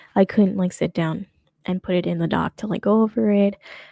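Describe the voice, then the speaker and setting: The woman's voice is somewhat breathy with a dark, mellow tone, and the sound is dry and close with no echo. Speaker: streamer / commentary host. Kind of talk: casual live stream commentary. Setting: live stream. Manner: fast; trips over words.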